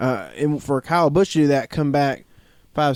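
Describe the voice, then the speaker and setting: Recorded very cleanly over a silent background, a man with a Southern US accent keeps his intonation fairly even. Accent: southern drawl. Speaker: podcast co-host. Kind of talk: casual chat.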